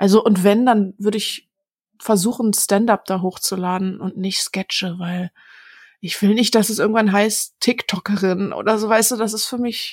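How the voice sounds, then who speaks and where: Somewhat breathy and at a medium pitch, a woman speaks with fairly even intonation in a dry, close sound with no echo. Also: moderate pace. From Berlin-Neukölln, Germany. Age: 20s. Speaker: stand-up comedian. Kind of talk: interview.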